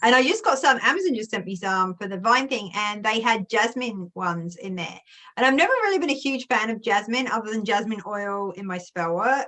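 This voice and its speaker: An English accent at a fairly quick pace, with hardly any pauses and ordinary pitch variation. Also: woman, fairly high pitch for a woman. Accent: English accent, heavier with family. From England. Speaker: youtuber. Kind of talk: casual chat. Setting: video call.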